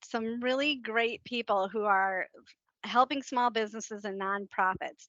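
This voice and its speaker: A woman's voice comes through with a bright, sharp tone and ordinary pitch variation. The sound is dry and close with no echo over a quiet background. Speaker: business consultant. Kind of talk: webinar presentation. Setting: online webinar. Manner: halting, many fillers and restarts.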